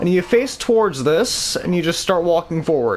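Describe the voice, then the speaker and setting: A man's lively intonation over noticeable background noise. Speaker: gaming video creator. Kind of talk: gameplay tutorial. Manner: slow; casual, halting.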